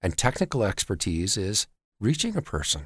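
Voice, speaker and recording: At a moderate pace, a man with a Canadian accent speaks in a fairly low, somewhat breathy voice, captured in a very clean recording with a silent background and a dry, close sound with no echo. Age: 40s. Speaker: debt collection company CEO. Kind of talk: interview.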